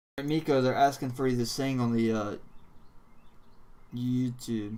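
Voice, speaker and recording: A man with an American accent talks at a moderate pace and a medium pitch. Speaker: crypto livestream host. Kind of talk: casual chat.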